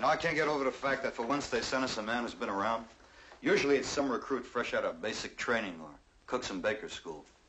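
A man speaks very fast against a light layer of background noise. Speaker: actor playing army sergeant. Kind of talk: scripted drama dialogue.

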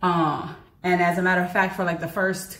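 A woman's fairly low voice with an American accent, at a moderate pace, with audible room echo. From United States. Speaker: university lecturer and fitness vlogger; university lecturer, fitness vlogger. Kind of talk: casual vlog monologue. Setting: outdoors. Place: home room. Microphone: camera far.

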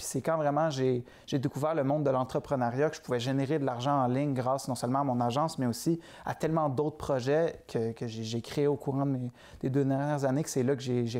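A man with a Quebec accent, dark and mellow in tone, fairly even in intonation, at a moderate pace over a quiet background. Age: 20s. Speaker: entrepreneur; guest. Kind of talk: interview. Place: studio. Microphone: lapel.

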